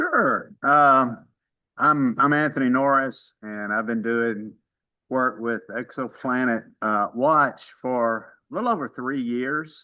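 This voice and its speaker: A man in a Mississippi accent at a very slow pace, bright and sharp in tone, medium in pitch, with fairly even intonation over a quiet background. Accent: Southern US (Mississippi). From Mississippi, US South. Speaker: amateur astronomer, retired dentist. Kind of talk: casual self-introduction in online meeting.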